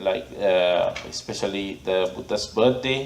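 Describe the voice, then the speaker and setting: A man with a Sri Lankan accent speaks at a fairly slow pace. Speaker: Buddhist monk and abbot; meditation teacher. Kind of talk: storytelling talk to an audience.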